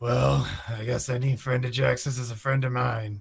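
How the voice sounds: In a put-on character voice, a man sounds gravelly, medium in pitch and monotone with flat intonation. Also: moderate pace.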